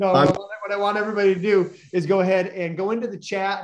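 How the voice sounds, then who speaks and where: A man speaks in an excited tone. Background noise is noticeable. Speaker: podcast host. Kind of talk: interview. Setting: video call. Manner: fast, excited.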